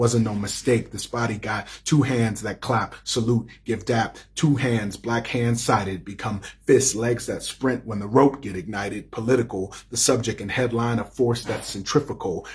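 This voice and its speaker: The voice is somewhat breathy, with fairly even intonation. It keeps a moderate pace with hardly any pauses. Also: man, medium pitch for a man. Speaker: poet and playwright. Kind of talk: spoken word poetry performance. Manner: rhythmic.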